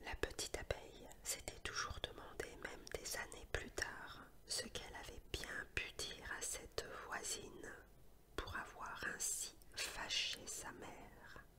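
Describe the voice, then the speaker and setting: A woman whispers at a very slow pace in a calm tone. Noticeable background noise sits behind her. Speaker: sophrology and hypnosis practitioner who reads ASMR tales. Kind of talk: storytelling narration with playful asides to the listener. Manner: whispered, soft, calm, relaxing.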